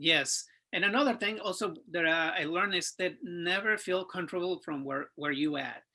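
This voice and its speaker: Speaking at a moderate pace with a Spanish accent, a man has a high pitch, a bright, sharp tone and ordinary pitch variation. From Mexico. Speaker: sales professional, interview guest. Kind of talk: interview conversation.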